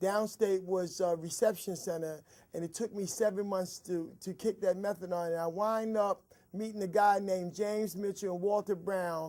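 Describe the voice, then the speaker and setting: This man talks in a flat monotone at a high pitch. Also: moderate pace. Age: 60s. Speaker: recovering addict, peer counselor. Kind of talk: testimony. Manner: halting.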